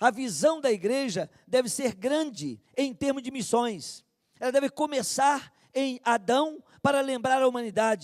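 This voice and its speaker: A man speaks at an extremely high pitch. His pace is fairly slow, and his pitch varies in an ordinary way. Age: 60s. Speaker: preacher. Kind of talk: sermon.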